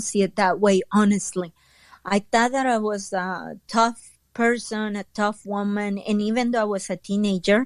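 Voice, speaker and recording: Speaking in a Spanish accent, a woman talks at a fairly slow pace with a fairly high pitch. The recording is very clean, with a silent background. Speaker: entrepreneur and author. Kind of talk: interview testimony. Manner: hesitant, many fillers.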